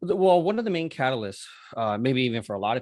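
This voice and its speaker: Recorded with a dry, close sound and no echo, a man speaks with an American accent and ordinary pitch variation. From Southern California, Los Angeles area. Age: 30s. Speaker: cannabis grower. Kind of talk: casual interview. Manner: hesitant, many fillers.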